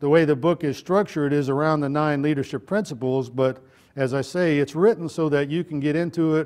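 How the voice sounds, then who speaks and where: Against a quiet background, a man with a Texan accent speaks at a fairly quick pace, his pitch fairly high and its variation ordinary. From Texas. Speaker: retired army general, leadership speaker. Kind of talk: motivational talk. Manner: conversational, folksy.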